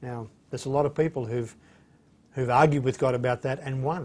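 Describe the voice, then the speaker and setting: In an Australian accent, the speaker goes at a fairly quick pace with fairly even intonation and a somewhat breathy sound. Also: man. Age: 60s. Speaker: bible teacher. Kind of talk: lecture. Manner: hesitant, many fillers.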